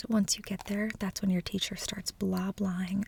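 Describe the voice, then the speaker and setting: Over noticeable background noise, a soft-spoken woman at medium pitch talks at a moderate pace in a monotone, flat intonation. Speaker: ASMR creator. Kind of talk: reading book blurbs aloud, casual.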